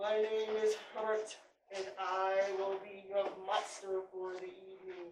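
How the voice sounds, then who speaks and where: Putting on a character voice, a woman speaks at a medium pitch and fairly slow pace in a monotone, flat intonation, with slight echo. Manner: polite, formal greeting.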